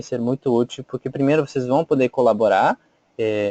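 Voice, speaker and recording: Moderate-paced speech from a man at a medium pitch, with fairly even intonation and a dry, close sound with no echo. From Bolivia. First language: Spanish (speaking Portuguese). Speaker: volunteer trainer. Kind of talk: webinar presentation. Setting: online webinar. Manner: hesitant, many fillers.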